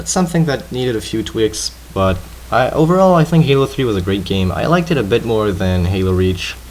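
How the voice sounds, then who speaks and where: Fairly low-pitched male voice at a fairly quick pace, very wide pitch swings, noticeable background noise. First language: French. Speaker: gaming commentator. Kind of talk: gameplay commentary chat.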